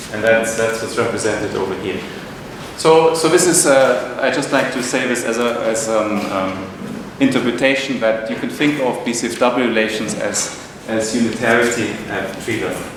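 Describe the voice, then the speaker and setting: In a room with audible echo and noticeable background noise, a man talks at a moderate pace with a medium pitch and ordinary pitch variation. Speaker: physics professor. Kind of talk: lecture. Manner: halting, many repetitions and fillers.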